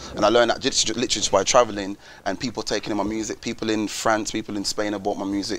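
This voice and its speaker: Speech rushes by at a very fast pace. Noticeable background noise sits behind it. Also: man, fairly low pitch for a man. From Wolverhampton, England. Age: 20s. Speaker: musician. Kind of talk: interview. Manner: animated.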